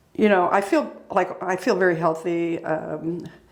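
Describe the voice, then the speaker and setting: A woman with a fairly low pitch talks at a moderate pace. The room echoes audibly, and background noise is noticeable. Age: 70s. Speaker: person in recovery. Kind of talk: interview.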